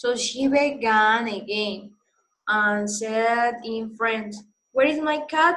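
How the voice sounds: The background stays quiet. A natural reading voice is heard with ordinary pitch variation.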